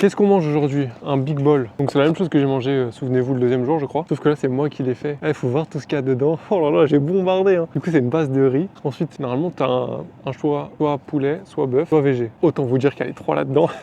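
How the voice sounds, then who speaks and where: A man's dark, mellow, fairly high voice in a French accent, very fast with hardly any pauses and ordinary pitch variation. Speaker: vlogger, cook. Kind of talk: casual vlog. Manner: casual, hesitant with fillers.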